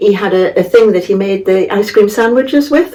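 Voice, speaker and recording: Through noticeable background noise, a woman with a Geordie accent speaks at a medium pitch and a moderate pace, with ordinary pitch variation. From northern England, Tyneside. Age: 80s+. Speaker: local resident sharing memories. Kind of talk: casual interview. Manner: halting.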